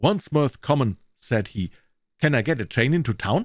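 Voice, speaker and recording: At a moderate pace, a man speaks at a fairly high pitch with vocal fry. The recording is very clean, with a silent background, and the sound is dry and close with no echo. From Germany. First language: German. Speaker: voice actor. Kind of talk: audiobook reading. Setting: studio.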